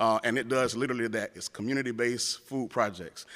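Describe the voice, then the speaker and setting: On a very clean recording with a silent background, a man with an American accent talks at a very fast pace and fairly even intonation. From rural North Florida. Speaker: government program specialist. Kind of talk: conference panel presentation. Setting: conference room with audience.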